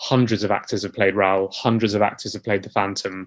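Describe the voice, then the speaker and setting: With monotone, flat intonation, the man keeps to a fairly low pitch. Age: 30s. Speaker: musical theatre actor. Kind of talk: interview.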